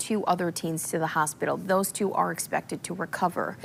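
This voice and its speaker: A woman's unremarkable speaking voice, medium in pitch, at a moderate pace with an American accent, on a very clean recording with a silent background. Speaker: morning TV news anchor and reporter. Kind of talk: TV news anchor read.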